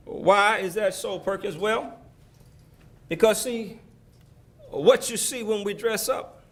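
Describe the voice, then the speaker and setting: A high-pitched man with an Alabama accent, speaking at a very slow pace with fairly even intonation amid audible room echo. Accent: Southern US (Alabama). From US South, Selma, Alabama. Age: 60s. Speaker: former mayor, keynote speaker. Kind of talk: keynote speech. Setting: banquet hall with audience. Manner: preacherly, call-and-response.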